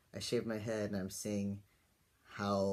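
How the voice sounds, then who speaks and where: A man speaks with a fairly low pitch and a dark, mellow tone. His intonation is monotone and flat. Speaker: vlogger. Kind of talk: personal video diary. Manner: casual, many fillers.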